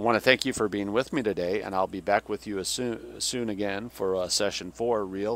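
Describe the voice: Plain reading aloud, nothing more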